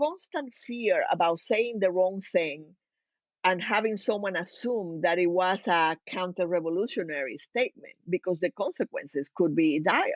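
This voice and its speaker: With a Cuban accent, a woman speaks at a medium pitch and a moderate pace, her intonation lively. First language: Spanish. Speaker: organizational consultant. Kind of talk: podcast interview.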